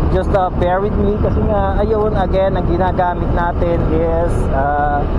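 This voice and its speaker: The talking goes at a fairly slow pace with noticeable background noise underneath. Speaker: product reviewer. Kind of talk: product test vlog. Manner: loud. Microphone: built-in action cam mic.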